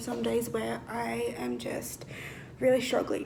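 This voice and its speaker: In an Australian accent, a woman speaks amid noticeable background noise and audible room echo. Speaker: vlogger. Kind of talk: casual chat. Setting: home kitchen. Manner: loud.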